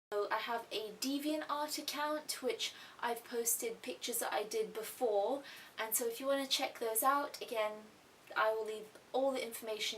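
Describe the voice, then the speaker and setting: Fairly high in pitch, a woman speaks with an English accent and ordinary pitch variation. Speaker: YouTube artist vlogger. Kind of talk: casual vlog Q&A.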